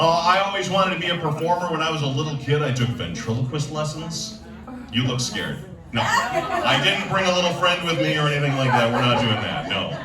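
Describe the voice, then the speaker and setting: A man's fairly high voice with lively intonation at a moderate pace, over noticeable background noise. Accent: American. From Chicago area. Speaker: stand-up comedian. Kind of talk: stand-up comedy set.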